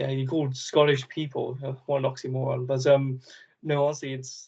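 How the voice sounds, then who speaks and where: A man's fairly high, somewhat breathy voice at a moderate pace, monotone and flat, broken by long, frequent pauses. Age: 20s. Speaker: travel adventurer and YouTuber. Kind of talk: casual chat.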